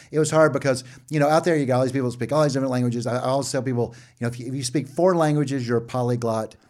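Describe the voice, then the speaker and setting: At a very fast pace, a man with an American accent talks at a medium pitch on a very clean recording with a silent background. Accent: Southern US, slight now. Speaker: seminary dean, professor. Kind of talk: interview, casual and testimonial. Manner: animated, conversational.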